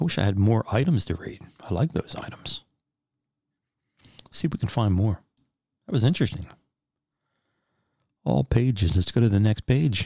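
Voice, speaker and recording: A man talks at medium pitch and a moderate pace with lively intonation, his voice somewhat breathy in a dry, close sound with no echo. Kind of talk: sleep reading.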